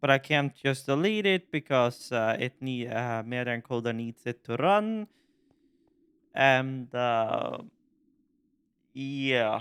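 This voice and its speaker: A man with a Norwegian accent at medium pitch, very slow pace, long, frequent pauses and lively intonation, on a very clean recording with a silent background and a dry, close sound with no echo. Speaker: gaming YouTuber. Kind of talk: casual gaming commentary. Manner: halting.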